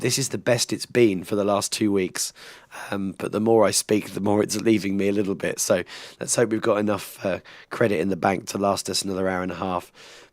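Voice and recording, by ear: A man puts on a raspy, hoarse, gravelly character voice at a fairly low pitch, speaking fairly quickly with monotone, flat intonation.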